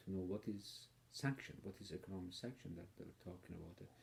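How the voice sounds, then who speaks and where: A man's dark, mellow tone at a moderate pace. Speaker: political commentator. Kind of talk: personal video monologue. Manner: hesitant, with fillers.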